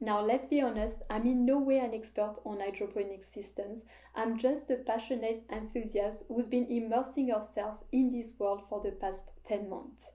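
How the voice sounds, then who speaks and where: A woman with a French accent speaks in a dark, mellow tone at a fairly high pitch. Her pace is moderate and her intonation fairly even. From France, French Alps. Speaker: hydroponics hobbyist and video creator. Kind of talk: scripted narration.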